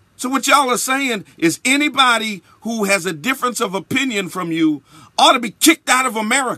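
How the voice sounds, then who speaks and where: A man's raised, projected voice, bright and sharp, with a passionate tone and lively intonation at a moderate pace over a quiet background. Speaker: bishop, radio broadcaster. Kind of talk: spoken-word radio commentary. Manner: emphatic, passionate. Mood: indignant. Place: studio. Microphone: studio mic.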